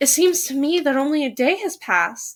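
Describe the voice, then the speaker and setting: A woman puts on a character voice, high-pitched and delivered at a fairly quick pace. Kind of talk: period drama. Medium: read story. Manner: uncertain, airy.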